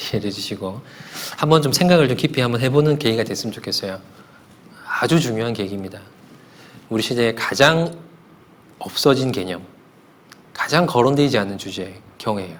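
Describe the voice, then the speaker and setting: With lively intonation and a medium pitch, a man speaks at a fairly quick pace but takes long, frequent pauses, and audible room echo surrounds his voice. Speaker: pastor. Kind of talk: sermon. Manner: fast.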